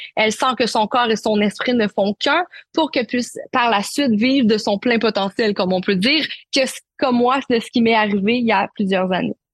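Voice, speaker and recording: A woman with a Quebec accent talks at a moderate pace, her pitch fairly high and its variation ordinary. Her voice is somewhat breathy and very even in loudness, with a dry, close sound and no echo. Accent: Québécois. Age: 20s. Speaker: naturopath and life coach. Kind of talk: interview testimony.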